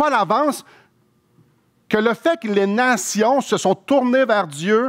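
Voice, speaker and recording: A man with a Quebec accent at a very slow pace, against a quiet background. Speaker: pastor. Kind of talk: sermon, expository preaching. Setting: church. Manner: earnest, explanatory, conversational; fervent, heartfelt, slower and pleading when praying. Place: church. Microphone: headset.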